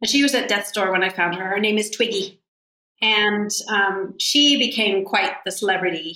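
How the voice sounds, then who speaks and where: A woman uses an ordinary speaking voice at a moderate pace. Her medium pitch varies in an ordinary way. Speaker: animal rescue founder. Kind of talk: interview conversation.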